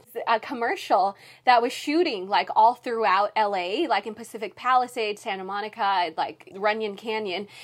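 A woman sounds animated, her pitch fairly high. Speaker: entertainment news reporter and TV host. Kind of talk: casual chat. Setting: podcast interview. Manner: animated, laughs often.

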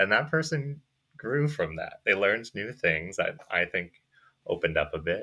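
A man with an American accent, an unremarkable speaking voice, lively intonation and a moderate pace. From US. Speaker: college participant. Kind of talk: moderated discussion.

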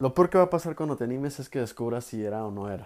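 A man talks at a fairly quick pace in a dark, mellow tone. The recording is very clean, with a silent background. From Mexico, Guadalajara, Jalisco. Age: 20s. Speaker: podcaster. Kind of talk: casual monologue. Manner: halting, many repetitions.

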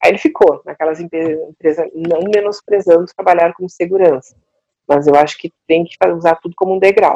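At a moderate pace, a woman with a dark, mellow tone and fairly low pitch speaks with fairly even intonation and big swings in loudness, the sound dry and close with no echo. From southern Brazil, Porto Alegre. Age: 50s. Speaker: coach. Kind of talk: casual interview chat.

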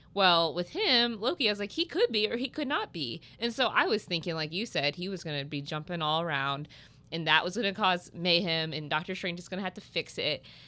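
In a very clean recording with a silent background, a woman with a Midwestern American accent and a fairly low pitch talks at a fairly quick pace with hardly any pauses, using an animated, bright, sharp tone and lively intonation. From US Midwest, Southern Illinois. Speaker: podcast guest, friend of host. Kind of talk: casual chat. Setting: massage therapy office. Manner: animated, frequent laughter.

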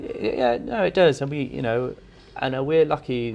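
A man speaks with ordinary pitch variation. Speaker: chef. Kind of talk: casual interview conversation. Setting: restaurant, on location.

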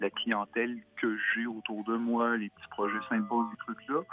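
A man speaks in a Quebec accent at a medium pitch. His pace is moderate, with noticeable background noise. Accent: Québécois. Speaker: illustrator. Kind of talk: interview. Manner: hesitant, many fillers.

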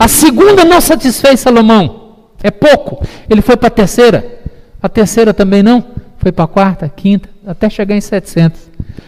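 A man speaks at a high pitch and moderate pace with lively intonation. Noticeable background noise runs underneath. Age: 50s. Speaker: pastor. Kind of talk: sermon.

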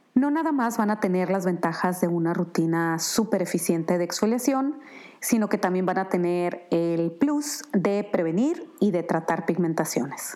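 Her tone dark and mellow, a woman talks at a fairly slow pace with lively intonation and very even loudness. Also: medium pitch for a woman. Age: 50s. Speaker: skincare brand founder. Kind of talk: product presentation monologue.

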